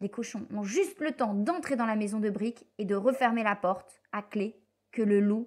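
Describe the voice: Against a quiet background, the text is given a plain reading aloud.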